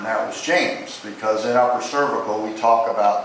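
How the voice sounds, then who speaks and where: At a moderate pace, a man with a medium pitch speaks amid noticeable background noise and audible room echo. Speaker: chiropractor. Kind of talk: memorial eulogy. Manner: loud.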